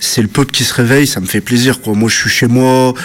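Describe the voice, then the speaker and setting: A man's voice over noticeable background noise. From French suburbs (banlieue). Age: 30s. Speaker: antifascist activist. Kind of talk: interview testimony.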